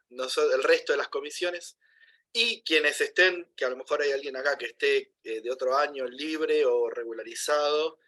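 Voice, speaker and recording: At a moderate pace, a man speaks in a Rosario accent. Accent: Rosario Argentine Spanish. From Rosario, Argentina. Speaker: university lecturer. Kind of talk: class announcements.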